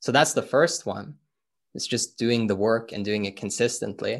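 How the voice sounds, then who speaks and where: With a Norwegian accent, a man speaks at a medium pitch and a fairly slow pace, with ordinary pitch variation against a quiet background. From Norway. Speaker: personal growth and business coach. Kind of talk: interview.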